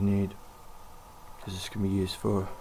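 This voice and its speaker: A man whispering quietly. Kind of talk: casual how-to tutorial talk to camera. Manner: almost whispering, quiet.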